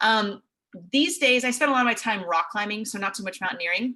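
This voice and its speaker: Bright and sharp in tone, a woman with a West Coast accent speaks at a fairly quick pace in a medium pitch with ordinary pitch variation. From US Pacific Northwest, Seattle. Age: 20s. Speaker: TV meteorologist. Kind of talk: presentation. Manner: casual.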